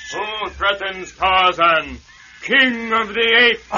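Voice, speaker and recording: Someone shouts in a put-on character voice. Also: man, high pitch for a man, fairly slow pace. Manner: shouted, commanding.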